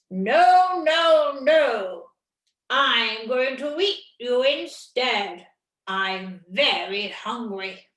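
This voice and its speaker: A female-sounding, put-on character voice growls at a high pitch. It moves at a very slow pace with slight echo. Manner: menacing, hungry.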